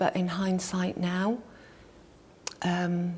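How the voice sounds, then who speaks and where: At a very slow pace, a woman with a Mancunian accent speaks at a medium pitch in a monotone, flat intonation. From Manchester, England. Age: 60s. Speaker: yoga and meditation teacher. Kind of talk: interview.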